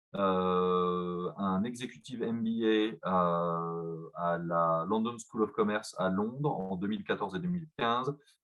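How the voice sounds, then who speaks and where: This man talks at a very slow pace with hardly any pauses. His pitch sits fairly low, with ordinary variation. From France, Besançon. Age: 30s. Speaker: company executive. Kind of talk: presentation. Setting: video call. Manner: halting, many fillers.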